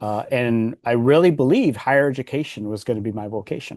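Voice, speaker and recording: Against a quiet background, a man with a medium pitch and a dark, mellow tone speaks at a fairly quick pace. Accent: Californian. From US West Coast, Los Angeles. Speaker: executive coach and author. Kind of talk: interview.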